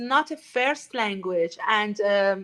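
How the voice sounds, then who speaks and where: With a Persian accent, a woman speaks very slowly in a bright, sharp tone, her intonation lively. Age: 40s. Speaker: artist community founder. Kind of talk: interview. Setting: live stream. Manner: halting.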